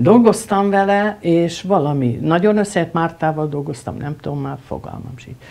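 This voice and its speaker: Her pitch swings very widely. This woman's voice sits fairly low. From Hungary, Budapest; Hungary. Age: 70s. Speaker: film editor; guest. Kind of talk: interview. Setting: at the guest's home. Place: home room.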